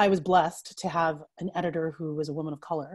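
A woman with an American accent and a dark, mellow tone speaks against a quiet background. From US Northeast (Pennsylvania). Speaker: writer; interviewee. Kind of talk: casual interview conversation. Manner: animated, laughs often. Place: home room. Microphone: earbuds.

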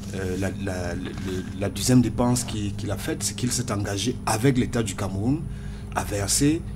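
A man talks fairly slowly, his pitch varying in an ordinary way, while noticeable background noise sits behind him. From Cameroon. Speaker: political party communication member. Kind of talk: radio panel debate. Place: studio. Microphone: studio mic.

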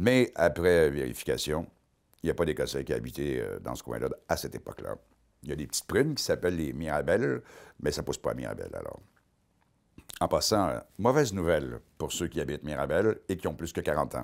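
With a Quebec accent, this speaker talks at a fairly quick pace broken by long, frequent pauses. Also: man, quiet background. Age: 50s. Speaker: comedian and columnist; comedian. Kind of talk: comic monologue. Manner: animated. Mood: wry, joking. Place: studio.

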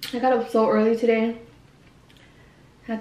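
A woman's fairly high, slightly mellow voice at a moderate pace, monotone and flat in intonation, with audible room echo.

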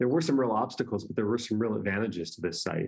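A man speaks with an American accent in a fairly low voice. His intonation is fairly even, and the background is quiet. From North Carolina. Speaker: law professor and author; law professor. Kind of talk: interview. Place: home room. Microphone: webcam.

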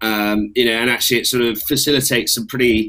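A man with an English accent speaks at a fairly quick pace in a bright, sharp tone. His intonation is monotone and flat, and the background is quiet. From England. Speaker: army officer; panel moderator. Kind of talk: panel discussion. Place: home room. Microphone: webcam.

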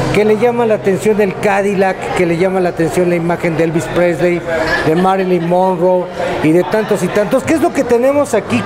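Loud background noise surrounds the recording. A man speaks with a high pitch and ordinary pitch variation. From Mexico. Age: middle-aged. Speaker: radio announcer and interviewer; radio announcer, interviewer. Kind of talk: interview. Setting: on location in a restaurant. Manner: animated. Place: cafe. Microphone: studio mic.

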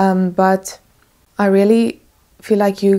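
On a very clean recording with a silent background, a dark, mellow voice with a non-native accent speaks in a monotone, flat intonation. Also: woman. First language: not English. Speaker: tarot reader. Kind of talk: tarot reading to camera.

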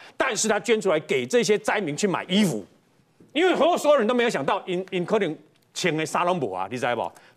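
At a very fast pace, a man speaks with a high pitch and very wide pitch swings against a quiet background. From Taiwan. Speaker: panel commentator. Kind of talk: political talk show commentary. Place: studio. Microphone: lapel.

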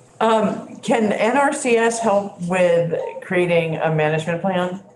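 The recording has light background noise and an audible room echo. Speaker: state legislator. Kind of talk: committee questioning. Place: meeting room. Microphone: camera far.

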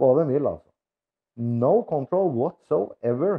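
The speech moves at a fairly slow pace with lively intonation over a quiet background. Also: man. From Norway. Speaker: vlogger. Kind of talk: casual vlog monologue. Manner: halting, many filler words. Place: home room. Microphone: lapel.

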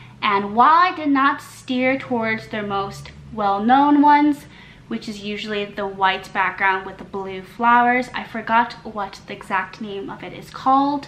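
A woman's fairly high voice at a fairly slow pace, with ordinary pitch variation, big swings in loudness, and light background noise. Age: 20s. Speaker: lifestyle YouTuber and fashion writer; lifestyle YouTuber. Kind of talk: try-on haul review. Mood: cheerful, friendly. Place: home room.

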